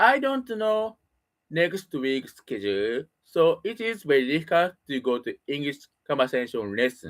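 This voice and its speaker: The speaker uses a Japanese accent and talks at a very slow pace. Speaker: English learner. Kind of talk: casual monologue. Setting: home room. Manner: halting.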